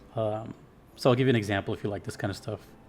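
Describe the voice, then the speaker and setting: Music plays behind a man speaking in an American accent. His pitch is medium, with ordinary variation. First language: Spanish. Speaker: music reaction youtuber, musician. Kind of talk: casual reaction commentary. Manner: halting, many fillers.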